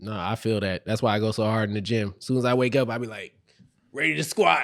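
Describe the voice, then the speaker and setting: Talking at a very fast pace, a man with an American accent has a fairly low pitch and ordinary pitch variation. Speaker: podcast host. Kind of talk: casual chat.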